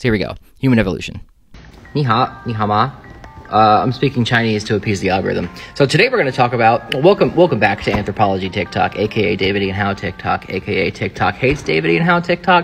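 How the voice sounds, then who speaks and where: A man speaks at a very fast pace in a fairly low pitch, with very wide pitch swings. Faint music plays in the background. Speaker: anthropology content creator. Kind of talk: casual science explainer. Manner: animated. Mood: joking, irreverent.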